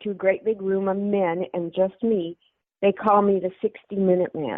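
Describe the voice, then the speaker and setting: Her pace is fairly slow. The woman's pitch is medium. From Portland, Oregon. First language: German. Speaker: comedian and army veteran. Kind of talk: podcast interview.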